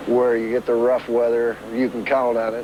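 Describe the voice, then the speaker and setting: A man talks fairly quickly in an American accent while noticeable background noise runs underneath. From Michigan, Trenton. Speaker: ship watchman. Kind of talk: interview.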